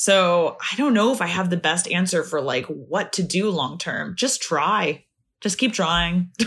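A woman with an American accent and an ordinary speaking voice, fairly low in pitch, with lively intonation at a fairly slow pace, in a very clean recording with a silent background. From Northern California. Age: 30s. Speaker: embroidery artist and optician. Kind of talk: casual interview chat.

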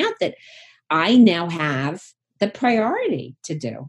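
This woman has a medium pitch and a somewhat breathy voice. Her intonation is lively. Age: 60s. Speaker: psychotherapist and sex therapist. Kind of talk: interview.

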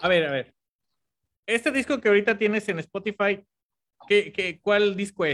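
A man with a high voice talks at a moderate pace with ordinary pitch variation, leaving long, frequent pauses, in a dry, close sound with no echo. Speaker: podcast host. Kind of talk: casual interview. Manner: halting, repeats words.

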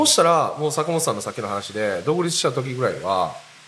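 Noticeable background noise accompanies a man speaking at a fairly quick pace with very wide pitch swings. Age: 40s. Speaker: podcast host. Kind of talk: casual chat.

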